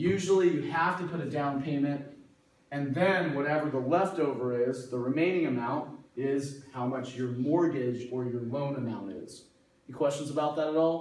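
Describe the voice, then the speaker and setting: A man talks at a moderate pace with ordinary pitch variation. Audible room echo surrounds his voice. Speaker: math instructor. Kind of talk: lecture. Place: classroom. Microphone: camera far.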